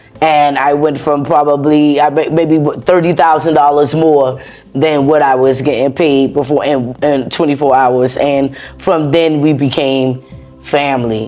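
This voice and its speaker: A woman's very deep, low voice, flat and monotone, at a fairly slow pace and very even loudness, with noticeable background noise. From US South, Charleston, South Carolina. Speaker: US veteran. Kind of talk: interview.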